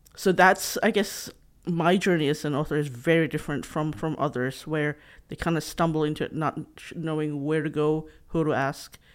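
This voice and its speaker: In a very clean recording with a silent background, a woman with a Filipino accent speaks at a moderate pace with a very deep, low pitch and fairly even intonation. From Philippines, Visayas region. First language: Bisaya (Cebuano). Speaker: author and former journalist. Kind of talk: interview.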